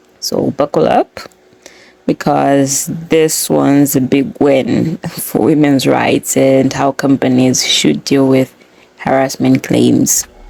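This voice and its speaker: Very slow delivery over noticeable background noise. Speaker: podcast host. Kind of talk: podcast explainer. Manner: casual.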